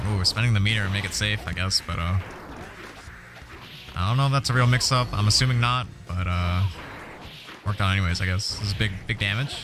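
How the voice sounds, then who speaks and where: Over music in the background, a man with a fairly low pitch and ordinary pitch variation talks at a very fast pace, broken by long, frequent pauses. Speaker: fighting game tournament commentator. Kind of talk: live esports commentary. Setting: live stream. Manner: animated.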